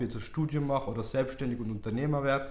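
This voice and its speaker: With audible room echo around him, a man speaks in a Tyrolean accent with fairly even intonation. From Austria, Tyrol. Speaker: crypto investor. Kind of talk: interview.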